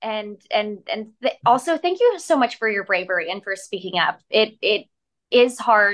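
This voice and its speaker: A woman speaks at a fairly slow pace and a fairly high pitch. Hers is an unremarkable speaking voice. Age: 20s. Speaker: news correspondent. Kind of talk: interview.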